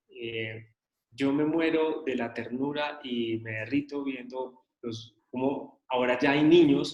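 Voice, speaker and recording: There is audible room echo around a man talking at a very slow pace. His intonation stays fairly even. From Colombia, raised in Medellín. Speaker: journalism course instructor. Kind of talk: online lecture discussion. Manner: hesitant, many fillers.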